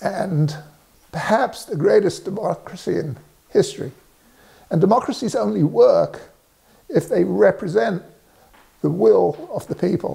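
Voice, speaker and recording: A man with an English accent talks at a fairly slow pace. He takes long, frequent pauses. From England. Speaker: resident sharing civic views. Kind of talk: direct-to-camera statement. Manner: halting, many fillers.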